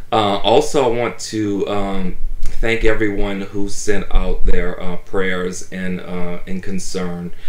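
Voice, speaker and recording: A man speaks at a fairly low pitch in a monotone, flat intonation, with audible room echo. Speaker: toy collector vlogger. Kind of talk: casual vlog chat. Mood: warm, grateful. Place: home room.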